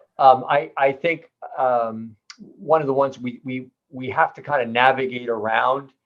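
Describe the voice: At a fairly slow pace, a man speaks with a medium pitch and fairly even intonation.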